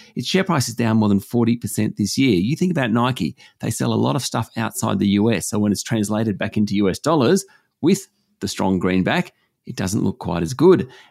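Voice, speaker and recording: In a very clean recording with a silent background and a dry, close sound with no echo, a man with an Australian accent speaks at a fairly quick pace in a medium pitch, his pitch swinging very widely. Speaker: business news presenter. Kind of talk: news reading, delivering business headlines. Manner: steady, clear, measured, formal newsreader delivery.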